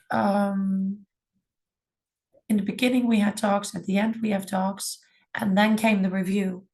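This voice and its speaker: Somewhat breathy and at medium pitch, a woman speaks at a fairly slow pace in a monotone, flat way with long, frequent pauses. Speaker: music school department head. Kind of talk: webinar presentation.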